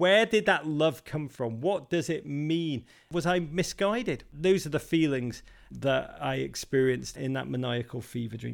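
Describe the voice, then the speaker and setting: In a Liverpool accent, a man with a fairly high pitch talks at a fairly slow pace with lively intonation. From England, Liverpool. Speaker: soccer podcast host and author. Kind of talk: interview. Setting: video call. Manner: animated.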